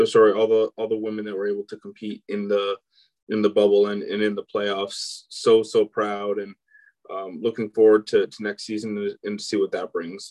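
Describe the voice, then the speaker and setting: The sound is dry and close, with no echo, as a man speaks at a moderate speed. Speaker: sports podcast co-host. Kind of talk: casual chat.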